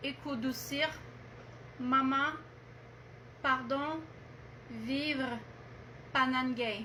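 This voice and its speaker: Heard over noticeable background noise, a woman's voice carries audible room echo. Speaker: medium relaying a message. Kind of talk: message reading. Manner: halting.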